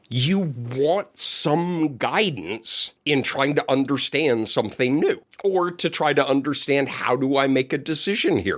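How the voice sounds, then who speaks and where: Speaking at a fairly slow pace, a man keeps his loudness very even while his tone is animated and his intonation lively. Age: 60s. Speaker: podcast co-host. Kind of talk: casual chat.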